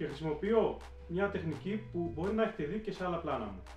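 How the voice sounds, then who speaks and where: A man's voice carries audible room echo, with faint music in the background. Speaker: spearfishing instructor. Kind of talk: video introduction, narrated summary. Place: home room. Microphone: camera far.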